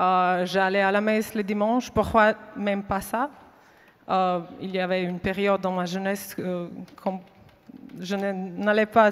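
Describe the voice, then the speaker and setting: A woman speaks very slowly with a non-native accent. Her medium-pitched voice stays monotone and flat. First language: not French (speaking French). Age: 30s. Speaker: faith witness. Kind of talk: testimony. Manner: halting.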